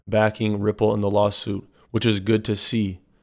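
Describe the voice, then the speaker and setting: Speaking at a fairly low pitch, a man holds a moderate pace. The recording is very clean, with a silent background. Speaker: crypto YouTuber. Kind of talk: casual news commentary.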